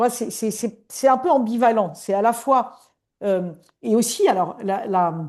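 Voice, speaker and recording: With a quiet background behind her, a woman speaks at a fairly slow pace in a fairly high pitch with lively intonation. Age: 60s. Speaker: coach. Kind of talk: interview.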